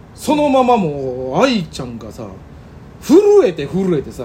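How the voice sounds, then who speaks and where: Animated, with very wide pitch swings, a man speaks in a Kansai accent. There is noticeable background noise. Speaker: comedian. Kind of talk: casual chat.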